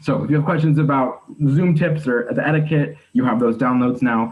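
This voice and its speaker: Speaking with very even loudness, a man uses a medium pitch and ordinary pitch variation. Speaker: conference panelist presenting for a partner organization. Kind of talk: online conference presentation. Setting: video call. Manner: fast.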